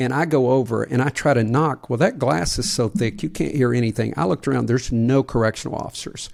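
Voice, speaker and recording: A man at a medium pitch with vocal fry and lively intonation, very fast with hardly any pauses, on a very clean recording with a silent background. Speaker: podcast co-host and leadership author. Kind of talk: casual chat with storytelling. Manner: soft-spoken.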